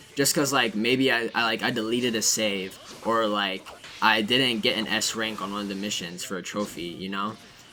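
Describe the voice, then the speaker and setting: A man speaks at a moderate pace in a fairly low pitch with fairly even intonation over noticeable background noise. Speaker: gaming youtuber. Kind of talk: casual gameplay commentary. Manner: stuttering; casual, rambling filler words.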